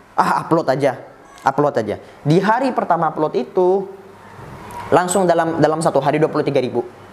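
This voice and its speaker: The speech moves at a fairly quick pace with long, frequent pauses, over noticeable background noise. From Madura (Bangkalan), Indonesia. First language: Madurese (speaking Indonesian). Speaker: TikTok Islamic preacher. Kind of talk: casual interview chat.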